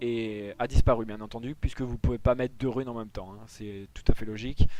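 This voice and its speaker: Fairly quick and monotone, a man speaks with flat intonation in a dark, mellow tone. His loudness swings widely. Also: medium pitch for a man. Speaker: gaming tutorial creator. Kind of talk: tutorial.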